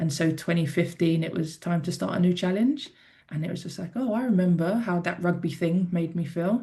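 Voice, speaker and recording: A woman speaks at a fairly quick pace in a dark, mellow tone that is somewhat breathy. Her pitch is fairly low, with ordinary variation. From South London, England. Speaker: former rugby player and athlete. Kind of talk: podcast interview. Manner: casual.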